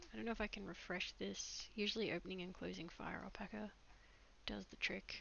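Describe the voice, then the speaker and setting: A soft-spoken woman at a moderate pace. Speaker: digital artist streamer. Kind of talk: live stream chat while drawing. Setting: live stream at computer. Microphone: microphone too quiet.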